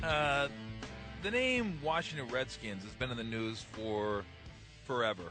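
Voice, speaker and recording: Against music in the background, the speaker moves at a fairly slow pace with lively intonation and long, frequent pauses. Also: man, medium pitch for a man. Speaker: sports radio host. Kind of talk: radio talk show. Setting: studio. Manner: casual, conversational.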